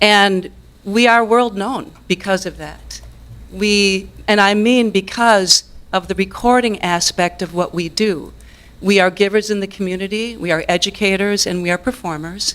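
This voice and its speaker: With an ordinary speaking voice, a woman talks at a medium pitch and a fairly slow pace, keeping her intonation fairly even. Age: 60s. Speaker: musician and business owner speaking at public comment. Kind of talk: public comment at city council meeting. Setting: city council meeting.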